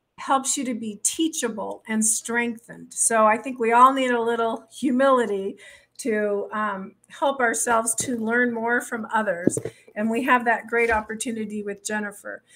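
Noticeable background noise fills the recording. A woman talks over it at a moderate pace. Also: fairly even intonation. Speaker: show host. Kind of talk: podcast host introduction. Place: home room. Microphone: studio mic.

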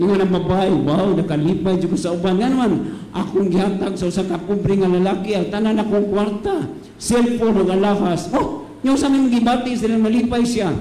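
A man's high voice, animated and playful, at a fairly quick pace with very even loudness, ordinary pitch variation and audible room echo. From Philippines. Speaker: priest. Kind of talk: humorous homily at a novena Mass, with congregation clapping and call-and-response; sermon. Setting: church, Basilica, with congregation. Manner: animated, playful, leads the crowd in counted claps and jokes; switches between Cebuano and English, teaching with acronym wordplay. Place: church. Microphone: handheld.

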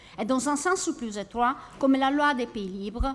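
Keeping a moderate pace, the woman talks with lively intonation. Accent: Italian. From Italy. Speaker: university researcher. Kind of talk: academic conference paper. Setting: conference hall. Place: classroom. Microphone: podium.

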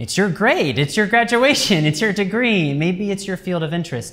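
With an American accent, a man speaks using very wide pitch swings. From US Midwest, Cincinnati, Ohio. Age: 20s. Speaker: academic writing lecturer. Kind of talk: lecture. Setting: university classroom seminar with students. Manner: casual, with many fillers. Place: classroom. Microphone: camera far.

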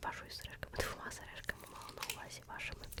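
A woman whispers in a gentle tone over noticeable background noise. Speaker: ASMR creator. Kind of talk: ASMR role-play, close personal-attention talk as a tattoo artist. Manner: soft, gentle, whispery, slow.

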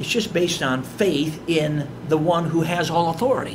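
A man speaks with a high pitch in an American accent. Noticeable background noise runs under his voice. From Chicago, US Midwest. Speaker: evangelist. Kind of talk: sermon. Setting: church. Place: church. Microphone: podium.

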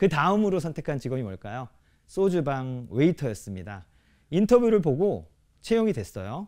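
Over a quiet background, a man with a fairly high pitch talks at a moderate pace, his pitch swinging very widely. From South Korea. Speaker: restaurant business owner. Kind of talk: prepared talk to audience. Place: stage. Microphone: lapel.

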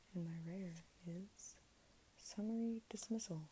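Someone soft-spoken talks at a fairly slow pace over light background noise. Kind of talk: casual card opening commentary. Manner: soft, hushed ASMR speaking. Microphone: phone near.

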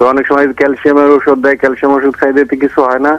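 Monotone, flat intonation with a dry, close sound and no echo. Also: man. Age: 50s. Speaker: caller, head teacher. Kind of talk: phone-in question. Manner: halting.

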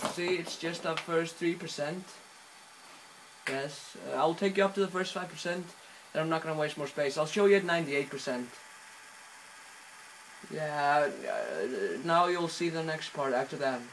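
Over light background noise, a man with an Icelandic accent talks at a moderate pace and fairly high pitch, with fairly even intonation and long, frequent pauses. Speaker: home video tutorial maker. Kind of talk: casual tutorial talk over gameplay footage. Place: home room. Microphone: phone near.

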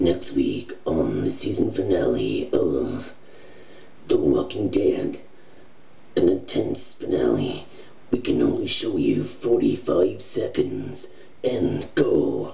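A put-on character voice at a very slow pace over clear background noise. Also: man. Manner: excited, dramatic.

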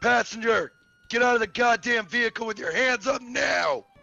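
A man speaks at a moderate pace in a put-on character voice, raised and projected, with an extremely high pitch and fairly even intonation. The sound is dry and close with no echo, and faint music plays in the background. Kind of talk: aggressive, authoritative. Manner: barking commands.

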